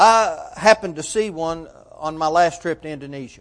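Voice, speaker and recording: Man's voice with lively intonation at a moderate pace. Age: 40s. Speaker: preacher. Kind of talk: sermon.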